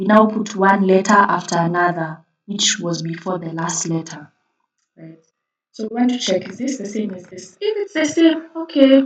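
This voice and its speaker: A woman's medium-pitched, somewhat breathy voice at a moderate pace, with very wide pitch swings and big swings in loudness. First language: not English. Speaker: coding tutor. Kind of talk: tutorial. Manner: casual, hesitant with fillers.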